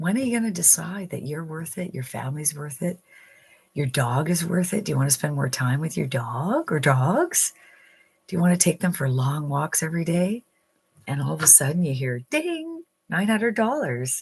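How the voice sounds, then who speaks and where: A somewhat breathy woman with a fairly low pitch speaks with lively intonation. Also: moderate pace. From central Canada. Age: 60s. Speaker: online income coach. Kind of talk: motivational livestream talk. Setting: live stream. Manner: animated.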